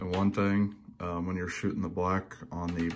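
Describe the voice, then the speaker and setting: A man's very deep, low voice with an American accent over light background noise. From Indiana. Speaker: lure painter. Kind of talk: tutorial. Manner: casual, hesitant with many fillers. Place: home room. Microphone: phone near.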